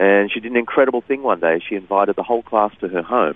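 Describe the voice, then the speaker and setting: A man talks at a very fast pace with an Australian accent. His pitch is fairly low. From Sydney, Australia. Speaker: author and speaker. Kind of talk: interview.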